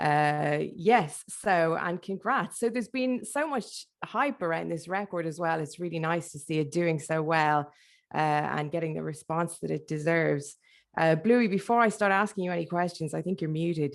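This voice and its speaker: Against a quiet background, a woman with a fairly low pitch speaks at a moderate pace. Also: ordinary pitch variation. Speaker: radio host interviewer. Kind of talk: interview. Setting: video call online event. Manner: loud.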